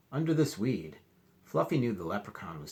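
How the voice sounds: The clip features a natural reading voice. The text is read out in it.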